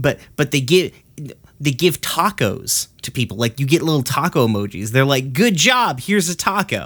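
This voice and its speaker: A man with a fairly high pitch makes very wide pitch swings in a very clean recording with a silent background. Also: moderate pace. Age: 30s. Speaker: podcast host. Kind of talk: casual chat.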